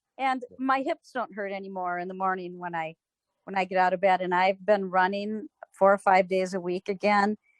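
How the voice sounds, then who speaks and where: An ordinary speaking voice: a woman at medium pitch, fairly even intonation, moderate pace, and a dry, close sound with no echo. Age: 60s. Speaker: customer giving product testimonial. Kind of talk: testimony.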